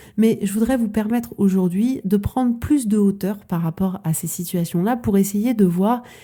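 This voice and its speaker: A woman's somewhat breathy voice with a dark, mellow tone, medium pitch and ordinary pitch variation at a moderate pace, on a very clean recording with a silent background. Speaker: coach. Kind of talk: podcast monologue. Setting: podcast.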